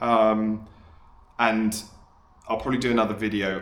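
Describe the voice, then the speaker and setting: In an English accent, a man speaks at a fairly low pitch. His pace is moderate over noticeable background noise. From England. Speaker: amateur fisherman, boat vlogger. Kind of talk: casual talk to camera. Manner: hesitant, with many fillers.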